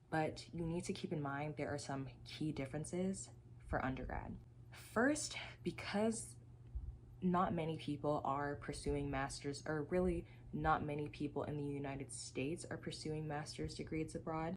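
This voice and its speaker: A woman with a very deep, low voice and vocal fry speaks at a moderate pace with an American accent and ordinary pitch variation. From Texas, Dallas. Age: 20s. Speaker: graduate student. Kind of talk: tutorial.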